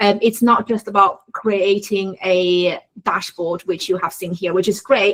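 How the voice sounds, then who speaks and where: A woman speaks at medium pitch. Her intonation stays fairly even. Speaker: workshop instructor. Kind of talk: online workshop tutorial. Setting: video call. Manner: fast.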